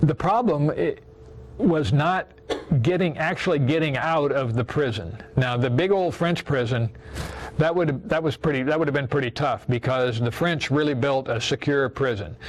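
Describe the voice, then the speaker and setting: Over noticeable background noise, a fairly high-pitched man with a Midwestern American accent speaks at a moderate pace with lively intonation. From Iowa. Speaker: war veteran. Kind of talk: testimony. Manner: halting.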